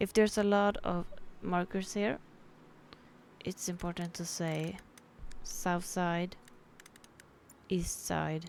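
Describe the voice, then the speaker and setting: A woman speaks at a very slow pace with long, frequent pauses in a Swedish accent. Her pitch is fairly low and her intonation fairly even. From Sweden. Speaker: gamer. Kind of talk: game tutorial commentary. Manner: casual.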